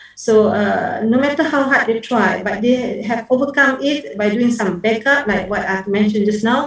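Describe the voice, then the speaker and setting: A woman speaks at a moderate pace with a fairly high pitch, ordinary pitch variation and hardly any pauses over noticeable background noise. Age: 60s. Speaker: professor, conference speaker. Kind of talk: conference Q&A answer. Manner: hesitant, many fillers.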